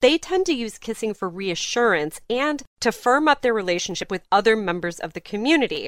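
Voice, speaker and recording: Recorded very cleanly with a silent background and a dry, close sound with no echo, a woman talks at a moderate pace in an animated tone. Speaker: podcast co-host. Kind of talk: casual chat, news roundup. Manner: laughs often, animated.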